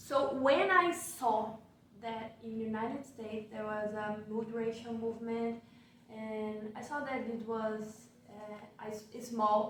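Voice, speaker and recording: A woman with a Portuguese accent talks at a fairly slow pace, her fairly high voice swinging widely in loudness. Audible room echo and noticeable background noise fill the recording. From Brazil. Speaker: researcher. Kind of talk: casual chat. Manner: halting.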